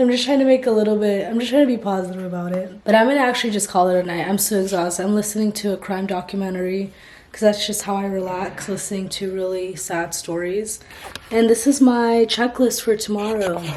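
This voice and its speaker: Noticeable background noise sits behind a woman speaking at a very fast pace. Her medium-pitched voice keeps a fairly even intonation. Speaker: speech-language pathologist vlogger. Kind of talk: casual vlog.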